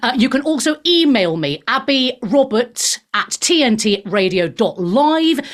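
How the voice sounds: Using big pitch swings, a woman with fairly high pitch speaks at a fairly slow pace.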